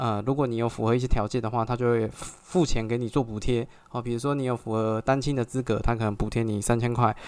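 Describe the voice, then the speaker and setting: Monotone and flat, a man speaks at a medium pitch and a very fast pace with hardly any pauses. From Taiwan, Xinzhuang (New Taipei). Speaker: podcast host, real estate agent. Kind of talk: solo podcast monologue. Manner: hesitant, many filler particles.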